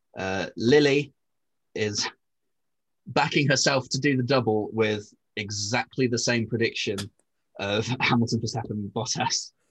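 A man speaks at a fairly slow pace with long, frequent pauses, medium pitch and fairly even intonation. His voice is somewhat breathy, and the background is quiet. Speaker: podcast co-host. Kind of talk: casual chat.

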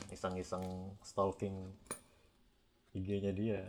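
A man with a fairly low voice talks very slowly. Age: 30s. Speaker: podcast guest sharing personal story. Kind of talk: casual storytelling chat. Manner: animated.

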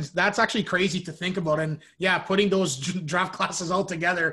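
A raised, projected male voice in a Canadian accent, high-pitched, bright and sharp, with fairly even intonation. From Canada, Ontario. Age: 20s. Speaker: podcast host and hockey broadcaster. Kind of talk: interview. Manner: halting, many fillers.

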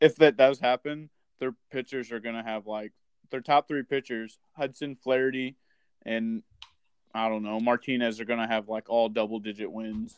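A man's normal speaking voice at a medium pitch and moderate pace, fairly even intonation but big swings in loudness. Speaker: guest co-host, fantasy sports. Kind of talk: casual sports podcast chat.

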